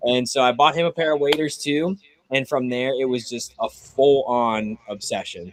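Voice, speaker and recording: Speaking in a normal speaking voice with an American accent, a man uses a medium pitch, ordinary pitch variation and a moderate pace. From Pittsburgh, western Pennsylvania. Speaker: duck hunter, social media creator. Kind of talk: casual chat.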